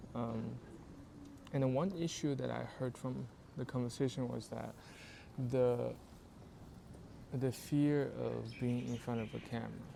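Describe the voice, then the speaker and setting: The speaker has a non-native accent and a fairly slow pace. Long pauses come often. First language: not English. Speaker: YouTube creator. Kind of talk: casual talk to camera. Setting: outdoors in public.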